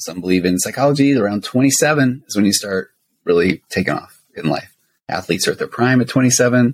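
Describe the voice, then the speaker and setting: A man talks in an ordinary speaking voice at medium pitch and moderate pace, with lively intonation. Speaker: therapist and co-host. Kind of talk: casual banter true crime discussion. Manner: joking, playful.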